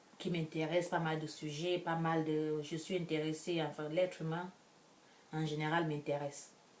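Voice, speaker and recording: A woman speaks at a moderate pace in a very deep, low pitch. Her intonation stays monotone and flat. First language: an African language, French second (speaking French). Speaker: vlogger. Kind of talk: casual vlog monologue. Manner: halting, many restarts.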